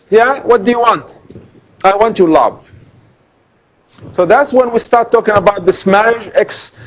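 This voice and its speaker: Speaking at a moderate pace, a man talks. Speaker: law lecturer. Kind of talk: lecture. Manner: loud.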